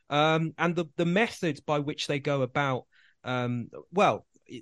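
A man with a British accent speaks at a fairly slow pace and a fairly high pitch. The sound is dry and close, without echo. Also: quiet background. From UK, Greek Cypriot family. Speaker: researcher. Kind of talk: casual chat. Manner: halting.

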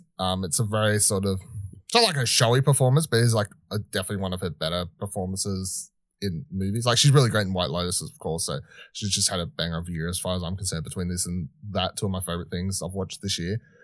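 In a very clean recording with a silent background, a man with an Australian accent talks at a very fast pace in a very deep, low voice. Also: ordinary pitch variation. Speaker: podcast co-host. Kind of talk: casual discussion.

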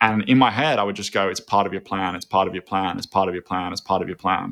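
Talking very fast with an Australian accent, a man has a fairly low pitch and a bright, sharp tone. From Australia, Byron Bay (New South Wales). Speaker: food company CEO. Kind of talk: casual chat.

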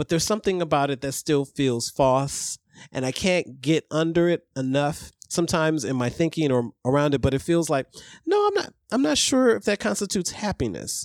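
A man with a plain, everyday voice speaks fairly quickly with an American accent and lively intonation. The recording is very clean with a silent background, dry and close with no echo. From Ohio, US Midwest. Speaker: podcast guest. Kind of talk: casual chat.

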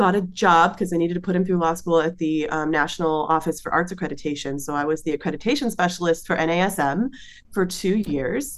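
This is a plain, everyday voice from a woman. Her pitch sits fairly low, with ordinary pitch variation. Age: 40s. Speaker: soprano singer. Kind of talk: casual chat.

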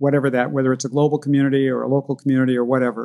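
His voice is a man's medium pitch with a dark, mellow tone. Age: 70s. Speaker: negotiation expert and former creative director. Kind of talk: interview.

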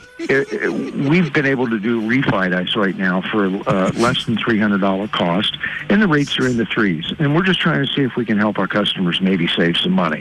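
A man talks at a moderate pace and fairly low pitch, with hardly any pauses and very wide pitch swings. His loudness stays very even over noticeable background noise. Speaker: bank telemarketer. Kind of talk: polite sales pitch. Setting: phone.

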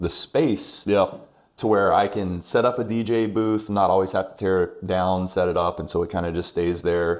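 A man with an American accent and a plain, everyday voice, fairly low in pitch, with ordinary pitch variation, a moderate pace and a very clean recording over a silent background. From South Carolina Midlands (Irmo). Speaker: wedding venue owner and former teacher. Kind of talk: casual interview chat.

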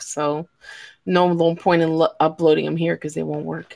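A woman with a normal speaking voice and an American accent, fairly low in pitch, at a moderate pace. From Chicago. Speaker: podcast host. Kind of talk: casual chat. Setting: live stream.

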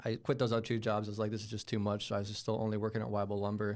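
Fairly low-pitched male voice on a very clean recording, the background silent. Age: 20s. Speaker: video game streamer and former home sales agent. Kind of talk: casual interview.

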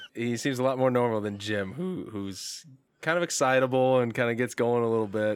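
An ordinary speaking voice from a man with an American accent, medium pitch, ordinary pitch variation and a fairly quick pace. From Indiana. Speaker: sports fan and football commentator. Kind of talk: casual chat.

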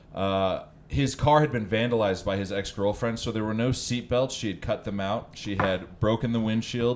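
Medium pitch, fairly even intonation and a moderate pace in a man's normal speaking voice. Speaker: comedian. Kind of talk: casual chat.

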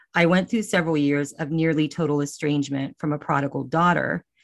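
A woman with a very deep, low pitch and ordinary pitch variation speaks against a quiet background. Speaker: empty nest coach. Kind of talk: personal testimony.

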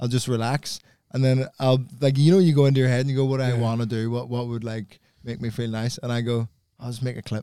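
A man speaks very fast with a Belfast accent, his tone dark and mellow. His pitch sits at a medium level and his intonation stays fairly even. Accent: posh Belfast (Northern Irish). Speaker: comedian. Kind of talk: casual banter.

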